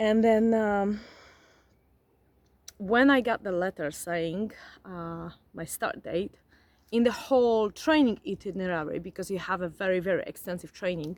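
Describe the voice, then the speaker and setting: A woman with a non-native accent speaks at a medium pitch and a moderate pace, using ordinary pitch variation and long, frequent pauses. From grew up in a forest region abroad. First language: not English. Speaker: vlogger, former flight attendant. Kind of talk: casual vlog monologue. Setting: outdoors. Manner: animated.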